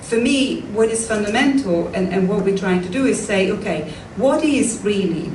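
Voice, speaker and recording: A woman with an Italian accent, amid noticeable background noise and audible room echo. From Italy, Tuscany. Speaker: professor of modern languages. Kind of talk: lecture Q&A.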